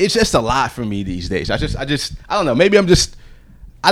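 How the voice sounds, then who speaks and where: Lively intonation marks a man's very fast speech with an American accent. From Virginia Beach, US. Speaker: podcast host. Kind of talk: casual interview chat. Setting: hotel room.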